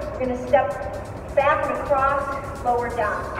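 Faint music plays behind a woman who talks at a moderate pace, with audible echo from the room. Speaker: fitness instructor. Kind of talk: workout instruction. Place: gym. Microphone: camera far.

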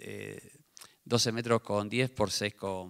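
A man with a Rioplatense accent, over a quiet background. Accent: Argentine Spanish (rioplatense). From Argentina. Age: 50s. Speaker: tennis coach for the blind, book author; tennis coach for the blind. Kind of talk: book presentation talk. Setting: theater with live audience. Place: stage. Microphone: handheld.

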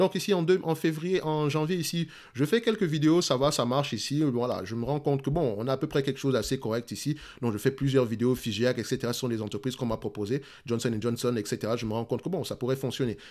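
With a Cameroonian accent, a man speaks at a medium pitch. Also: ordinary pitch variation. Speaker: investing youtuber. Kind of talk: casual talk to camera. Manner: fast.

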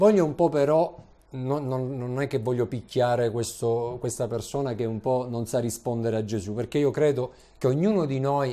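At a moderate pace, a man speaks in a dark, mellow tone. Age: 40s. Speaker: preacher. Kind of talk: sermon. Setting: church. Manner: animated. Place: church. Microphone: lapel.

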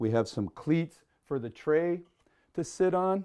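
The background stays quiet. A man talks at a fairly slow pace. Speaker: woodworking show host. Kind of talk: tutorial. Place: workshop.

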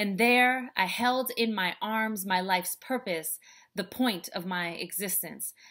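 A woman's bright, sharp tone at a fairly slow pace, with ordinary pitch variation over a quiet background. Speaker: speaker, author and life coach. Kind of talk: spoken word poetry performance. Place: home room. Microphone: webcam.

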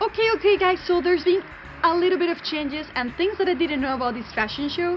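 Over noticeable background noise, a woman talks at a very fast pace with an extremely high pitch and lively intonation. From Mexico. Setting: outdoors.

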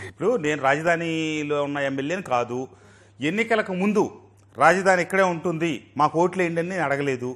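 A man's fairly high voice with ordinary pitch variation, over a quiet background. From Andhra Pradesh. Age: 50s. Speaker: politician; politician interviewee. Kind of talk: interview. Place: studio. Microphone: lapel.

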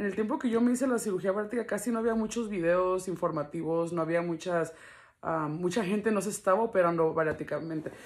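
Over a quiet background, a woman speaks very fast with ordinary pitch variation. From Los Angeles, US, Mexican family. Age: 20s. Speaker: video blogger. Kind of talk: casual vlog talk to camera. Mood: candid, animated, some slang. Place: home room. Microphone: phone near.

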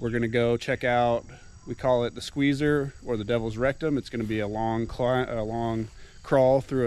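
At a moderate pace, a man speaks with monotone, flat intonation in a dry sound with no echo, with light background noise behind him. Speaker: cave explorer vlogger. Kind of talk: casual vlog chat. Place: open country. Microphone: phone near.

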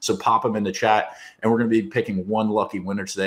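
A man's fairly low voice at a fairly quick pace. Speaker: show host. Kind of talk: livestream show intro.

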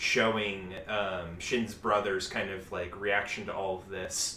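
The talker is a man. His pace is very slow, and background noise is noticeable. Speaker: anime podcast co-host. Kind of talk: casual chat.

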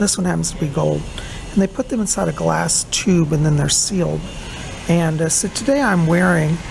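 A woman's speech at a moderate pace comes with noticeable background noise behind it. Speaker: psychic vlogger. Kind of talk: casual vlog chat. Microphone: phone near.

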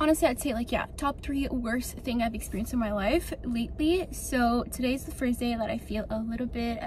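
Against light background noise, a woman talks at a moderate pace, and the sound is dry with no echo. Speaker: lifestyle vlogger. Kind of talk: casual vlog chat. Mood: animated, relieved, chatty. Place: car. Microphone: phone near.

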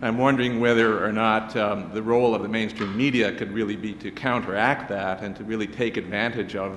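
A man talks at a fairly quick pace, his fairly low pitch held to a fairly even intonation.

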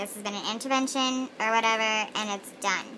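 Noticeable background noise sits behind the recording. A woman talks with fairly even intonation. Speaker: vlogger. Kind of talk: casual talk to camera. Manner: silly, giddy. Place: home room. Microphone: phone near.

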